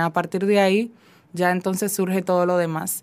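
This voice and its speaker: A woman at a moderate pace with monotone, flat intonation. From Dominican Republic. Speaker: fiction writer; guest. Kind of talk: interview. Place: studio.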